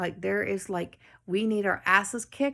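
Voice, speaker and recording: A woman with a Newfoundland accent at a moderate pace, fairly even in intonation, on a very clean recording with a silent background. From Newfoundland, Canada. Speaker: spiritual medium and life coach. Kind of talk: channeled spiritual message. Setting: home, late night video.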